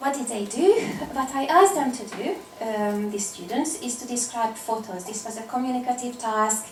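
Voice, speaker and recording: Amid noticeable background noise and audible room echo, a woman with a Hungarian accent talks at a moderate pace in a high pitch, with lively intonation and big swings in loudness. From Hungary. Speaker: applied linguistics researcher. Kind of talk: academic conference talk.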